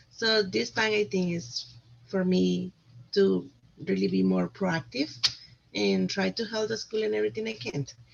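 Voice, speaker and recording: Pausing long and often, a woman speaks at a moderate pace with a Spanish accent. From Costa Rica. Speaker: parent volunteer, vice president nominee. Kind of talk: self-nomination speech at meeting.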